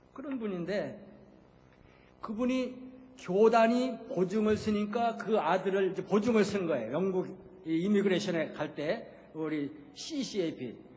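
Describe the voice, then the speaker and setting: Speech comes at a fairly slow pace with long, frequent pauses and audible room echo. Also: man, high pitch for a man, lively intonation. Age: 70s. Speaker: retired missionary pastor. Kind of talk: sermon. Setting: church. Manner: conversational, with frequent filler sounds.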